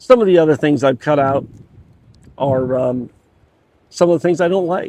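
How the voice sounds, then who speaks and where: A man's dark, mellow tone at a moderate pace, ordinary pitch variation, dry and close with no echo. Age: 60s. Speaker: home gardener. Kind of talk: casual talk to camera. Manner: halting, many fillers.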